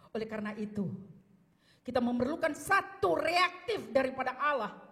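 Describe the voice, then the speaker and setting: A woman talks in a high pitch, her voice moving through very wide pitch swings. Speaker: pastor. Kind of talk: sermon. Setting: church.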